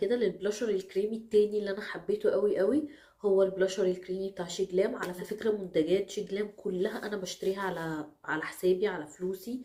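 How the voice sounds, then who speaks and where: A woman with an Egyptian accent talks at a fairly quick pace with hardly any pauses. Her intonation stays fairly even, and background noise is noticeable. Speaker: beauty vlogger. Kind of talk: product review.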